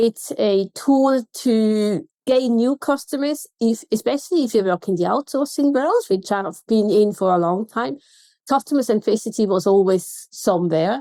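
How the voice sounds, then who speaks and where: This woman's tone is dark and mellow, with lively intonation. The sound is dry and close with no echo, and the recording is very clean over a silent background. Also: fairly high pitch for a woman, moderate pace. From Switzerland. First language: Swiss German. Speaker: contact centre consultant. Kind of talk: podcast interview.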